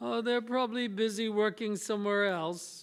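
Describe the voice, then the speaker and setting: The pitch is fairly high. The voice is a put-on character voice. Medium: stage play. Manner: disinterested, reluctant.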